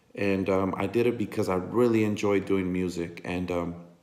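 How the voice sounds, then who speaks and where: Audible room echo surrounds a man whose very deep, low voice moves at a moderate pace with fairly even intonation. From National City, San Diego area, California. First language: Spanish. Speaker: Chicano rapper. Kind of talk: casual monologue to camera. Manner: halting, many fillers.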